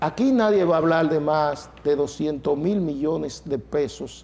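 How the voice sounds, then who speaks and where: At a moderate pace, a man talks in a fairly high pitch with a dark, mellow tone and ordinary pitch variation. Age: 60s. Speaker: transport union leader. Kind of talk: TV interview debate. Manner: animated.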